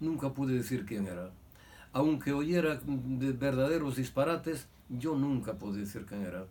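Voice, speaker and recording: Amid audible room echo, a man with a dark, mellow tone and medium pitch speaks fairly slowly with lively intonation. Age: 80s+. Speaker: son of a victim of Franco-era repression. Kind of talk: testimony. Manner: halting.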